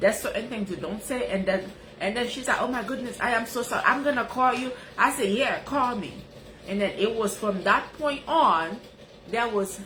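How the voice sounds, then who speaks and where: A woman with a Haitian accent, animated in tone and lively in intonation, amid audible room echo and noticeable background noise. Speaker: life coach, live streamer. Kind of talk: casual live-stream talk.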